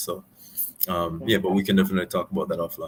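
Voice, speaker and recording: A man with a Jamaican accent. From Jamaica, Spanish Town. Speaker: lawyer. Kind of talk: interview. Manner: hesitant, many repetitions.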